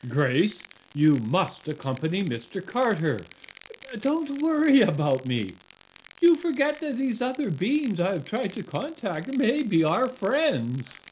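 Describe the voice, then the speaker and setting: A put-on character voice swings very widely in pitch. It sits fairly high and moves at a fairly slow pace. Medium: stage play. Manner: earnest, gentle.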